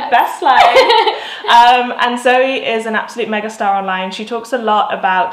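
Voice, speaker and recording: Noticeable background noise sits under a woman speaking with a British accent. Her pitch is fairly high with ordinary variation, and her pace is moderate. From South of England. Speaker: digital nomad vlogger. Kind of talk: casual talk to camera.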